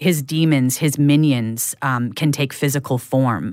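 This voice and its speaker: A woman with a western Canadian accent speaks at a fairly slow pace and a very deep, low pitch, on a very clean recording with a silent background. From Prince Rupert, coastal British Columbia, Canada. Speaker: podcast host and creator, interviewed as guest. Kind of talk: interview conversation. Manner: hesitant with many fillers and restarts.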